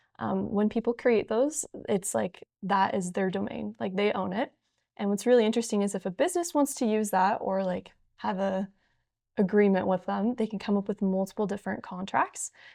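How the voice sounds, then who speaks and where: A woman's dark, mellow voice at medium pitch, fairly quick, with ordinary pitch variation, in a very clean, dry, close recording with a silent background and no echo. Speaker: student panelist. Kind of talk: panel discussion. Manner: fast.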